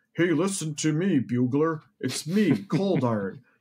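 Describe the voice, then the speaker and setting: A man's strained, put-on character voice at fairly high pitch and a fairly slow pace. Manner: strained, constipated delivery.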